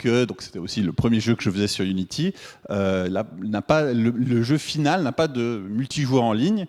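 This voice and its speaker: This man has a Swiss French accent and lively intonation at a medium pitch. The recording is very clean, the background silent. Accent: Swiss French accent, noticeable. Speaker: game developer and teacher. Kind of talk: conference talk. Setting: stage with audience. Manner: hesitant, many filler words.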